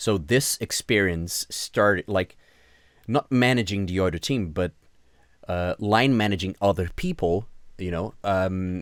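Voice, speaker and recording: A man with a Portuguese accent speaks at a fairly low pitch with ordinary pitch variation, recorded very cleanly with a dry, close sound, no echo and a silent background. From Brazil. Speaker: senior game sound designer and mentor. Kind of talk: interview conversation. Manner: hesitant, many fillers and repetitions.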